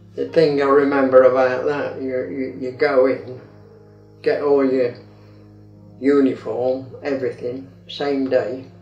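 A man talks fairly slowly in a monotone, flat way. Faint music plays behind him, and room echo is audible. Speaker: grandfather. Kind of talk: interview answer. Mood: amused, reminiscing. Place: home room.

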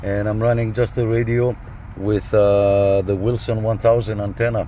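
At a moderate pace, a man speaks in a fairly low voice with fairly even intonation.

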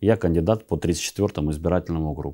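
A man's dark, mellow voice at a moderate pace, with ordinary pitch variation and a quiet background. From Russian Far East, Vladivostok; Russia. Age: 50s. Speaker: regional legislator and election candidate; election candidate, politician. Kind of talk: campaign statement to camera. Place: office. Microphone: lapel.

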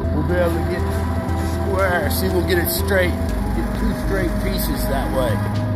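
A man speaks at a fairly slow pace. Loud music plays in the background. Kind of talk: casual work commentary. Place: workshop. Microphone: phone near.

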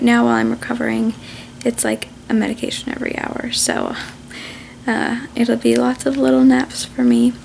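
A soft-spoken woman with a weary tone at a moderate pace, over light background noise. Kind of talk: casual vlog chat. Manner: soft, weary post-surgery voice.

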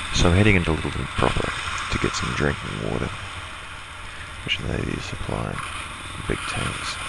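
A man talks at a moderate pace, with long pauses coming often. Loud noise fills the background, and the sound is dry with no echo. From New Zealand. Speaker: motorcycle vlogger. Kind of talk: motovlog voice-over. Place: home room.

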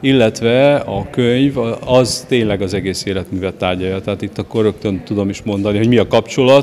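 The man has an ordinary speaking voice, fairly low in pitch, with fairly even intonation at a fairly quick pace. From Hungary. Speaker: interviewee. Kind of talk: interview. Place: hall. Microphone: handheld.

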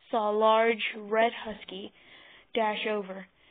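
Reading aloud in an unforced voice.

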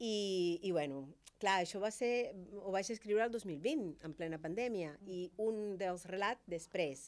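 A woman speaks with a Spanish accent. Her pitch varies in an ordinary way. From Cuba. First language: Spanish (speaking Catalan). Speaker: doctor and writer; guest. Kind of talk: talk show interview. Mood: warm, animated. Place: studio. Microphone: studio mic.

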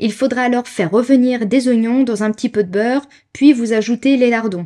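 In a Savoyard accent, a woman talks fairly quickly with a dark, mellow tone and ordinary pitch variation. The recording is very clean and silent in the background, dry and close with no echo. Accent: regional Savoyard French. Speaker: food blogger and content creator. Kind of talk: podcast-style narration on history and recipe.

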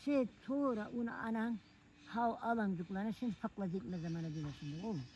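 Somewhat breathy and dark, mellow in tone, a woman speaks at medium pitch with lively intonation. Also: moderate pace. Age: 80s+. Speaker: elderly villager. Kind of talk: casual chat. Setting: outdoors.

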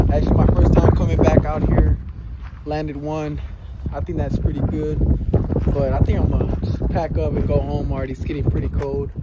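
Clear background noise sits behind a man whose fairly high pitch shows little pitch movement.

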